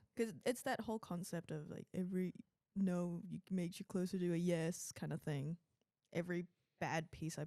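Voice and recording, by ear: This woman has a fairly low, dark and mellow voice with vocal fry, ordinary pitch variation and a moderate pace, recorded dry and close with no echo.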